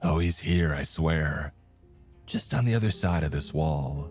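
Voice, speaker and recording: A man puts on a hoarse character voice with a very deep, low pitch. He speaks at a moderate pace over clear music in the background. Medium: read story. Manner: wheedling, menacing.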